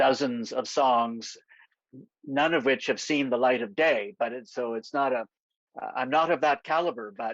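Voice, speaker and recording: A man at a medium pitch with a Canadian accent, fairly even intonation and a fairly slow pace, dry and close with no echo, over a quiet background. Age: 60s. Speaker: novelist. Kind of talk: interview at a virtual literary event. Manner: hesitant, with many fillers.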